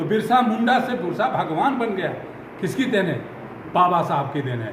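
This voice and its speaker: A man's voice comes with noticeable background noise and audible echo from the room. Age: 70s. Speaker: Dalit community leader and army veteran. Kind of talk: news interview. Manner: animated.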